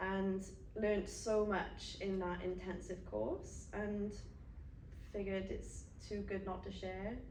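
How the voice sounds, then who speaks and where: Speaking very slowly with long, frequent pauses, a woman in a Welsh accent is heard with noticeable background noise and audible room echo. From South Wales (Carmarthen). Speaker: yoga instructor and personal trainer. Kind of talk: casual chat. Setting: podcast studio.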